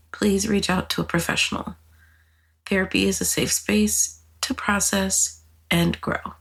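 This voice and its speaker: A woman's very deep, low voice, breathy and with vocal fry, swinging very widely in pitch. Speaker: podcast host. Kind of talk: solo podcast monologue. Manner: casual, conversational.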